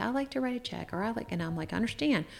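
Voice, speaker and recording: Her pitch swinging very widely, a woman talks very fast with vocal fry in a very clean recording with a silent background. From Shenandoah Valley, Virginia. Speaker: life insurance broker and retirement specialist. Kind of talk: interview conversation.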